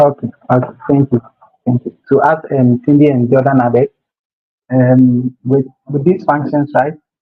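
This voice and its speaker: A quiet man speaks in a fairly high, flat, monotone voice. His pace is moderate, broken by long, frequent pauses. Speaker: bootcamp instructor. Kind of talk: technical tutorial. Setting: live stream video call. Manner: too quiet.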